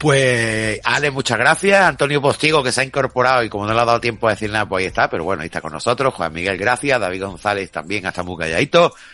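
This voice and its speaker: A man at a very fast pace with very wide pitch swings, amid noticeable background noise. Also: medium pitch for a man. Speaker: radio host. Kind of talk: radio talk show.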